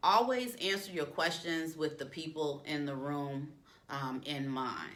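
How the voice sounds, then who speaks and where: Fairly slow and lively in intonation, a woman speaks with a very deep, low pitch amid audible room echo. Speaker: career coach. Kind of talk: tutorial. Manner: uses filler um often.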